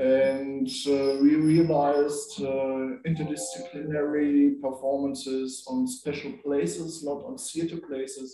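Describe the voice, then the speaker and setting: In a German accent, the voice comes through with audible room echo. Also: man. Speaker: performance director. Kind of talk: panel discussion. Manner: halting.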